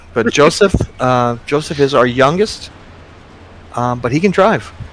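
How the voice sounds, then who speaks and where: There is noticeable background noise as a man talks at a fairly slow pace. His medium pitch carries lively intonation. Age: 60s. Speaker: sim racing league organizer. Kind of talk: casual chat.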